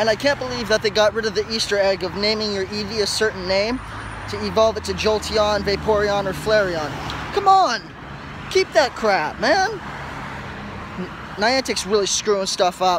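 Man's high-pitched voice with fairly even intonation and long, frequent pauses, dry with no echo, over noticeable background noise. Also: moderate pace. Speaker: vlogger. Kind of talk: casual vlog chat. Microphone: earbuds.

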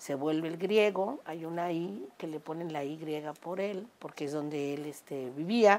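This is a normal speaking voice. It moves at a fairly slow pace with hardly any pauses. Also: woman, fairly low pitch for a woman, ordinary pitch variation. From Mexico, Cuernavaca (Morelos). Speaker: restaurant owner and amateur singer. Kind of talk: casual interview conversation. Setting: home terrace.

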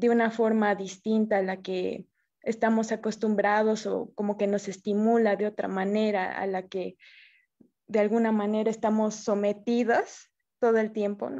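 Over a quiet background, a woman with a dark, mellow tone speaks fairly slowly in a monotone, flat intonation. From Bolivia. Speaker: filmmaker. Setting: video call.

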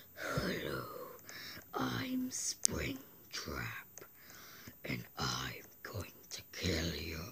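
A put-on character voice sounds raspy with a very deep, low pitch at a very slow pace. Long, frequent pauses break it up over light background noise. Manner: menacing, threatening.

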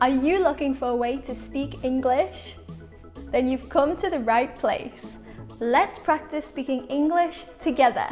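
With faint music in the background, a woman with a high pitch speaks at a fairly slow pace. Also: ordinary pitch variation. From Liverpool, England. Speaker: English teacher. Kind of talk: English shadowing lesson. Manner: clear, slow.

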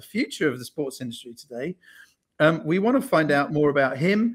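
A man speaking at a fairly quick pace against a quiet background. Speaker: event host. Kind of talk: introduction of a guest. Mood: cheerful, smiling. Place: home room.

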